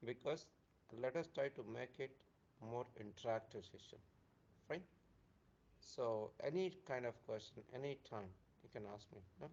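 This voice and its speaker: A soft-spoken man talks at a moderate pace and medium pitch, with ordinary pitch variation. His loudness swings widely, and he pauses long and often. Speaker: software trainer. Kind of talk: live online training class. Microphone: too quiet.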